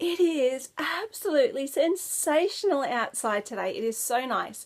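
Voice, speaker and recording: A woman with an Australian accent talks at a fairly slow pace with very wide pitch swings in a very clean recording with a silent background. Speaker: knitting podcaster. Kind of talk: casual chat. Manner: casual, chatty with many fillers.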